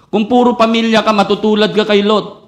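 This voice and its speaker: A man's high-pitched voice with audible room echo. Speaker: pastor. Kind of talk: sermon. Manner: emphatic, sounds almost angry.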